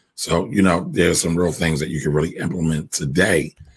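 A man with a very deep, low pitch and vocal fry, at a fairly quick pace with ordinary pitch variation. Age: 40s. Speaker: podcast host. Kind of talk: interview. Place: home room. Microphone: studio mic.

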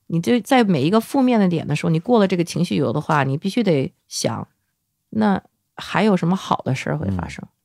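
Speaking at a fairly quick pace, a woman uses vocal fry and very wide pitch swings. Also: fairly low pitch for a woman, dry, close sound with no echo. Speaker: band lead singer. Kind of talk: casual interview chat.

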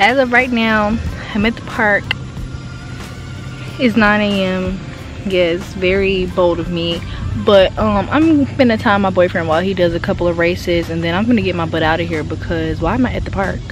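With clear music in the background, a woman speaks at a moderate pace with long, frequent pauses, the sound dry and free of echo. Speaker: vlogger. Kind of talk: casual vlog chat. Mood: relaxed, joking, a bit sluggish. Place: open country. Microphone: phone near.

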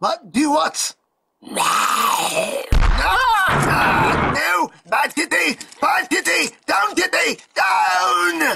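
Everything is delivered very slowly. It comes in a put-on character voice. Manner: shrill, panicked.

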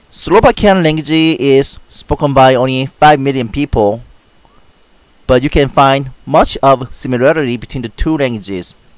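At a moderate pace, a man with a Korean accent speaks in a fairly high pitch with ordinary pitch variation. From South Korea. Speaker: language tutor video creator. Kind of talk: tutorial. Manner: formal, instructional, repeating phrases.

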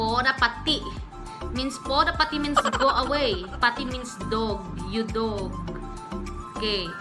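Clear music sounds in the background while a woman talks at a fairly slow pace. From Philippines. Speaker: vlogger. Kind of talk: casual talk to camera. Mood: playful, amused. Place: home room. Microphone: studio mic.

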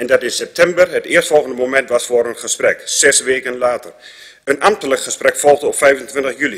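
A male speaker, moderately paced. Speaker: council speaker. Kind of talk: council debate speech. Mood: critical, indignant. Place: meeting room.

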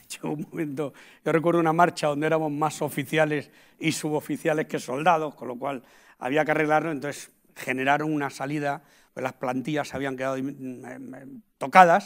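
Against a quiet background, a man speaks fairly quickly at a fairly high pitch with fairly even intonation and long, frequent pauses. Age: 50s. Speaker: invited sales expert. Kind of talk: talk interview before an audience. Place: hall. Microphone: lapel.

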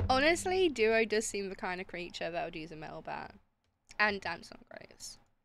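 This woman has a British accent, a medium pitch with some vocal fry, and she talks at a moderate pace in an animated tone with lively intonation. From Britain. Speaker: streamer. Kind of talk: live game stream chat.

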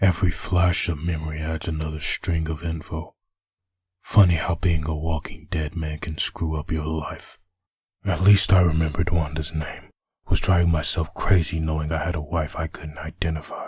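A man talks at a very deep, low pitch in a monotone, flat intonation. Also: moderate pace. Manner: menacing, threatening; brooding, bitter inner monologue.

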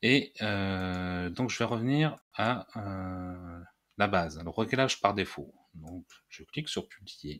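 A man's very deep, low voice at a very slow pace with lively intonation. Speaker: WordPress tutorial youtuber. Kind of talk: screen-recorded software tutorial. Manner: halting with many fillers.

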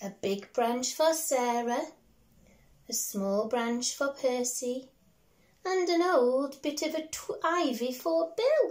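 A woman with a gentle, warm tone speaks at high pitch in a sing-song, lively way. Her pauses are long and frequent, against a quiet background. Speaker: primary school teacher. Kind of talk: bedtime story reading aloud to young children, with a chatty intro. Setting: video recorded at home. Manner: gentle, warm and sing-song, with slow, expressive pacing and character voices; animated and encouraging, speaking directly to small children. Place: home room. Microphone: phone near.

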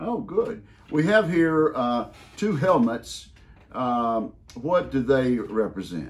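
A man's fairly high voice with a Southern US accent, very slow, with very wide swings in pitch. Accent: Southern American. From Mississippi, USA. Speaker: U.S. senator. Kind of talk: interview questions. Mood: warm, respectful. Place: office.

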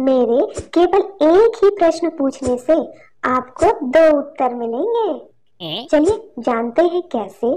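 In a cartoonish character voice, a woman speaks at a very slow pace with a high pitch. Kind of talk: classroom explainer, cheerful educational cartoon. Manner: warm, encouraging, playful.

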